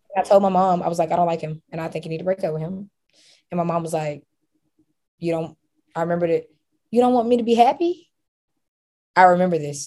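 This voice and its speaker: A woman with an American accent talks very fast at a fairly low pitch, with a dark, mellow tone, ordinary pitch variation, big swings in loudness, and long, frequent pauses. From Alabama, US South. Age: 20s. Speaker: entrepreneur and marketing consultant. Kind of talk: guided hypnosis as the client, short murmured answers.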